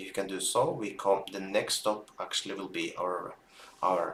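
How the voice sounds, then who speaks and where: A man with a non-native accent at a moderate pace. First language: not English. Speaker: binary options trader streamer. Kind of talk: live trading stream commentary. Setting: live stream with chat. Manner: halting, with filler words.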